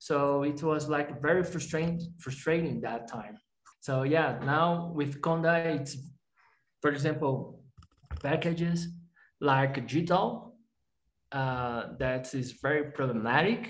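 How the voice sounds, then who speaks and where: Speaking at a very slow pace with long, frequent pauses, a man uses a fairly high, somewhat breathy voice with ordinary pitch variation. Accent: Portuguese. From Brazil. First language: Portuguese. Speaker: software developer; interviewee. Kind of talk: interview. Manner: halting, many fillers. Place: home room. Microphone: headset.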